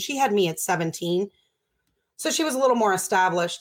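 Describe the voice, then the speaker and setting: A woman with an American accent talks at a fairly quick pace in a medium pitch, an ordinary speaking voice on a very clean recording with a silent background. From Baltimore, Maryland, US. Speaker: addiction recovery nonprofit director. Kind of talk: interview, personal recovery story.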